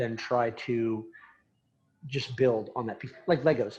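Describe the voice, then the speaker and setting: A man with a dark, mellow tone talks at medium pitch, somewhat breathy, with fairly even intonation. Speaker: animation studio founder and Navy veteran. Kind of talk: talk answering audience question. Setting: presentation with audience. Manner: halting with repetitions.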